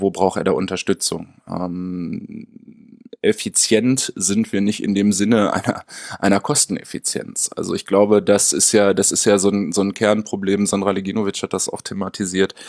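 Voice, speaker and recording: A man with a fairly low pitch talks at a moderate pace in a monotone, flat intonation, the sound dry and close with no echo. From Münster, western Germany. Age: 30s. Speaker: special-needs educator and researcher. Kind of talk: interview. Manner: hesitant, many fillers.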